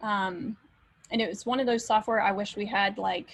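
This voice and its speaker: A somewhat breathy woman speaks at a moderate pace. Her medium pitch shows ordinary variation. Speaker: instructor. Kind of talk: lecture.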